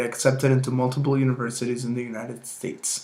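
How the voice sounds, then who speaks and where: A man with a Spanish accent talks at a very fast pace in a medium pitch. Noticeable background noise and audible room echo surround him. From Mexico. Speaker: university student. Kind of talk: prepared self-presentation for a class assignment. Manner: formal.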